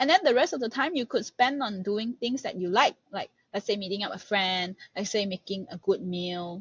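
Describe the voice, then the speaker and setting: Somewhat breathy and medium in pitch, a woman talks at a moderate pace. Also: lively intonation. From Malaysia. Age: 20s. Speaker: master's student and research assistant. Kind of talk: podcast interview.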